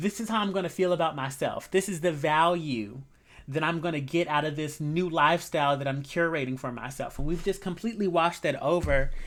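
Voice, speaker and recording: A plain, everyday voice at a fairly quick pace. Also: woman. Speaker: tarot reader. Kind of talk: tarot reading. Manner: casual, conversational.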